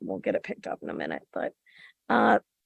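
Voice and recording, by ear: A woman's put-on character voice, extremely low in pitch, with vocal fry, very wide pitch swings, a fairly quick pace and a dry, close sound with no echo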